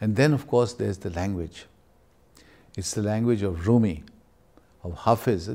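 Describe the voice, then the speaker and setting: At a moderate pace, a man speaks in a fairly low pitch with a dark, mellow tone and ordinary pitch variation. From Pakistan. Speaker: scholar; interviewee. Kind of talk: interview. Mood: warm, admiring, animated. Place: meeting room. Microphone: lapel.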